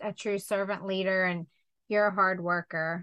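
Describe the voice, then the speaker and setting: At a moderate pace, a woman with a medium pitch talks in a plain, everyday voice. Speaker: podcast host. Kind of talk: podcast interview.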